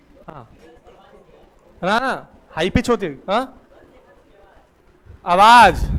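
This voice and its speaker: High in pitch, a man talks with lively intonation. He leaves long, frequent pauses. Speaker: teacher. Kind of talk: classroom lecture.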